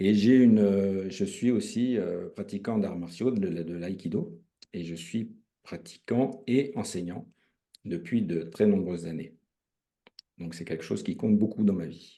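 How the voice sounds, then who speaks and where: The tone is dark and mellow, delivered at a fairly slow pace with ordinary pitch variation. Loudness swings widely, and long pauses come often. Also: man, fairly low pitch for a man. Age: 60s. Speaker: retired railway worker and emotion practitioner. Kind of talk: testimony. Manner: halting, many hesitations.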